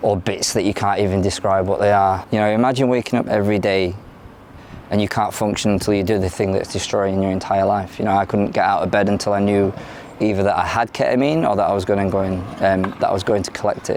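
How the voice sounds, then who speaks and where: Over noticeable background noise, a man with an English accent and fairly low pitch speaks very fast in a monotone, flat intonation. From London, moved to South Yorkshire at ten. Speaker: former addict in recovery, academic researcher. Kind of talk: interview testimony. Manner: hesitant, many fillers.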